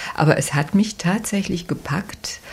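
Noticeable background noise behind a woman's fairly slow delivery. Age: old. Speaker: lawyer. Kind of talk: interview.

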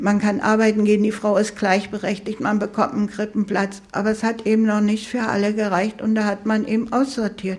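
A woman at a fairly high pitch with a fairly quick pace, hardly any pauses, very even loudness and monotone, flat intonation over noticeable background noise. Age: 80s+. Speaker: pensioner. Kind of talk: interview testimony.

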